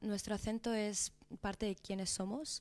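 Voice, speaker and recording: Using a Madrid accent, a woman speaks at a fairly slow pace with a fairly high pitch and a monotone, flat intonation. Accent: Madrid Spanish, distinguishes Z. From Spain, Madrid (Peruvian family). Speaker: documentary filmmaker. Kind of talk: interview.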